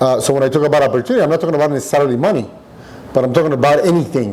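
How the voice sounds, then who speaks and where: Against noticeable background noise, someone speaks at a very fast pace with a Spanish accent and ordinary pitch variation. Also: man. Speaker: restaurant owner. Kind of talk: podcast interview.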